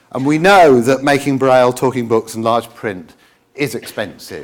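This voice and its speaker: Using lively intonation, a man speaks at a moderate pace with a British accent. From England. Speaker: president of an accessible-books organisation. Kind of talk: conference talk. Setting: conference stage with audience. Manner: hesitant with many fillers.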